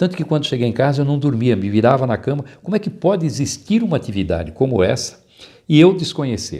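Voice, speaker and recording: A man with a fairly high pitch talks very fast, his pitch swinging very widely. His tone is dark and mellow, with vocal fry. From interior of São Paulo state, Brazil (Araraquara). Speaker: public speaking teacher and author. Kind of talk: interview.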